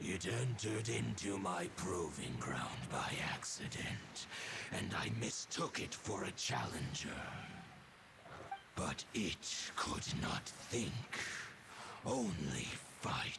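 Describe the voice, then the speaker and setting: A man's put-on character voice, fairly low in pitch, at a very slow pace with long, frequent pauses and noticeable background noise. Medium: video game. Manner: formal, archaic, dignified.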